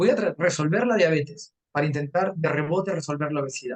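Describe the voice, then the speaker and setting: A man talks at a fairly quick pace in a somewhat breathy voice. His pitch is fairly high, with ordinary pitch variation. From Peru, Arequipa. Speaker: nutrition lecturer. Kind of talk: lecture. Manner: fast.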